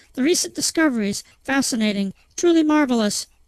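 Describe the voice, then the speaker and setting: Using a put-on character voice, a woman speaks high and fairly quickly, the sound dry and close with no echo against a quiet background. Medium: read story. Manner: smooth, menacing.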